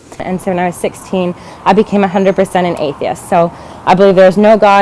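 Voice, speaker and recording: Speaking very fast with an American accent, a woman keeps a monotone, flat intonation over noticeable background noise. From China (American expat family). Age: 20s. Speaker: student and activist, convert telling her story. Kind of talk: testimony.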